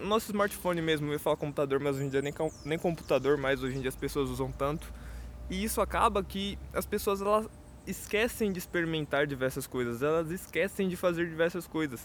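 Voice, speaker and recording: A man talks at a fairly quick pace. His pitch sits fairly high, with ordinary variation. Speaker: podcaster. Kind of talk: solo monologue. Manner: casual, hesitant with repetitions.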